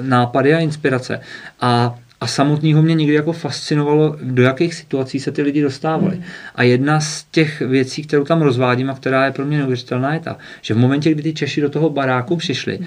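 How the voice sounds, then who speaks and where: Fairly quick and fairly high-pitched, this man has an unremarkable speaking voice with fairly even intonation. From northwestern Bohemia, Czech Republic. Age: 30s. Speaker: author. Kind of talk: interview.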